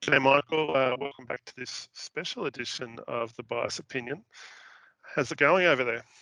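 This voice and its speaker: In a raspy, put-on character voice with an Australian accent, the speaker goes at a moderate pace with ordinary pitch variation and big swings in loudness. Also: man, medium pitch for a man. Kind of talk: casual greeting.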